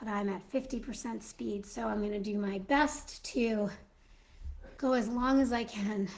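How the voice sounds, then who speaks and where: The woman speaks at a fairly slow pace. Her voice is somewhat breathy. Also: fairly high pitch for a woman, ordinary pitch variation. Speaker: Mrs. Claus character livestreamer. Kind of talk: casual live stream chat. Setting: live stream.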